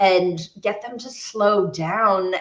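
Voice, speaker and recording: An American accent from a woman, noticeable background noise behind her. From US West Coast, San Francisco. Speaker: naturopath and sports nutritionist. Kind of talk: interview.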